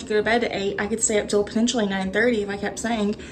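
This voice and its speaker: A woman speaks with a Texas accent at a fairly high pitch. Noticeable background noise runs underneath. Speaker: booktuber. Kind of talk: casual vlog chat. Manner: hesitant, many fillers.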